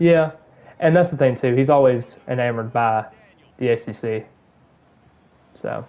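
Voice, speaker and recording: A man speaks in a dark, mellow tone with a slight Southern US accent, leaving long, frequent pauses. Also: medium pitch for a man, ordinary pitch variation, moderate pace. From Alabama. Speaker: gaming streamer. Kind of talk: live gameplay commentary and casual chat. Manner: hesitant, repeats words.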